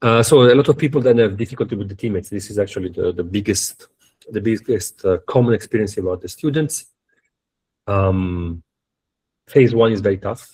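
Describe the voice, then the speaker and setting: A man with an Italian accent, somewhat breathy and fairly low in pitch, with ordinary pitch variation, a fairly quick pace and long, frequent pauses. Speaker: university professor. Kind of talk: lecture. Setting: video call. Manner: fast; halting, many fillers and repetitions.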